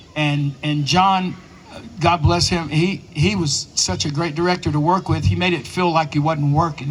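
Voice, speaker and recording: Over noticeable background noise, a man with an American accent speaks at a high pitch. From East Tennessee, Smoky Mountains. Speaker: actor. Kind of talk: panel Q and A storytelling.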